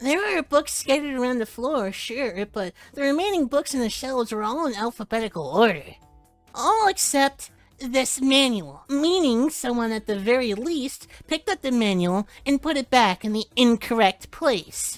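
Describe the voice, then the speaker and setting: A put-on character voice, female-sounding and high-pitched for a woman, with music in the background. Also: moderate pace. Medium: game stream. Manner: measured, formal.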